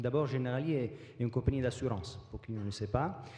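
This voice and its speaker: Speaking at a moderate pace with a slight non-native accent, a man's medium-pitched voice has a dark, mellow tone, sounds somewhat breathy and shows ordinary pitch variation. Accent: slight foreign. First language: not French (speaking French). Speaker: business executive. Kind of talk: panel discussion. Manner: hesitant.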